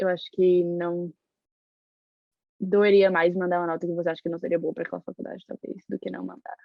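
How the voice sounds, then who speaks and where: A woman talks at a fairly quick pace with a fairly low pitch and monotone, flat intonation. Her speech is broken by long, frequent pauses. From Brazil, Salvador, Bahia. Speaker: university student. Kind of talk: interview. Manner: fast.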